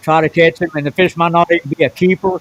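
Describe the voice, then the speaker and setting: Speaking at a fairly quick pace, a man with a Southern US accent uses a high pitch and fairly even intonation, with a dry, close sound and no echo. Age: 70s. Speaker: professional bass angler. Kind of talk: casual chat. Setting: podcast.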